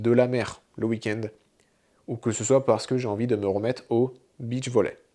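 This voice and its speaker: In a very clean recording with a silent background, a man speaks at a medium pitch and a fairly slow pace with a dark, mellow tone. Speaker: fitness coach. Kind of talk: tutorial.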